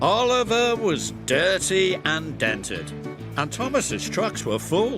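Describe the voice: The speech is plain reading aloud. It is simply read out.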